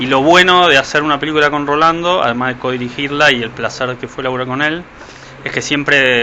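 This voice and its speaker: Amid noticeable background noise, a man with a fairly high pitch talks very fast with fairly even intonation. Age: 30s. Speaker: film director. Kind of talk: interview.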